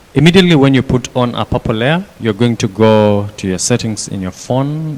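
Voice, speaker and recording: Noticeable background noise behind a man of medium pitch, with ordinary pitch variation. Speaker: workshop instructor. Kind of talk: hands-on tutorial.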